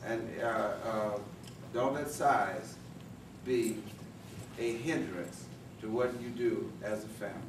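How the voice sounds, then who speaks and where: Over noticeable background noise, a man speaks at a medium pitch with fairly even intonation. He goes at a very slow pace, with long, frequent pauses. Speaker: elder family speaker; speaker. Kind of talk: speech. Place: meeting room. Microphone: camera far.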